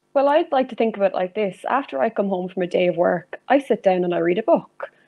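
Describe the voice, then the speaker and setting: Speaking with an Irish accent, a woman talks at a fairly quick pace with lively intonation. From Ireland, County Meath. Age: 20s. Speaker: zoology student and dog enrichment enthusiast. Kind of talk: interview.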